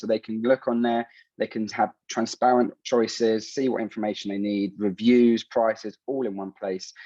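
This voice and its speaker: A man's dark, mellow voice with a London accent, dry and close with no echo, against a quiet background. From London, England (Colombian heritage). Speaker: startup founder. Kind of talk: startup pitch. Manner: hurried.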